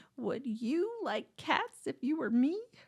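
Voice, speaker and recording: A woman's shrill, put-on character voice, high in pitch with very wide pitch swings, at a fairly slow pace. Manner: passionate, indignant.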